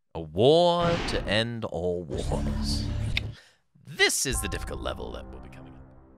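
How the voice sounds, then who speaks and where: A man speaks at a fairly slow pace with big swings in loudness while music plays in the background. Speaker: gaming streamer. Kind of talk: casual gameplay commentary.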